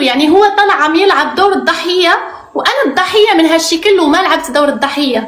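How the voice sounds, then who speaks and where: A woman's extremely high voice with ordinary pitch variation at a moderate pace, amid audible room echo and noticeable background noise. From Morocco. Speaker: reality TV contestant. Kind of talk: interview.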